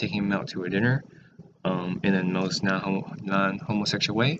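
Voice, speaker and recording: A man with a fairly low voice talks at a fairly quick clip while noticeable noise sits behind him. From Taiwan, moved to US in sixth grade. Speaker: student vlogger. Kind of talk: casual vlog monologue. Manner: halting, many fillers.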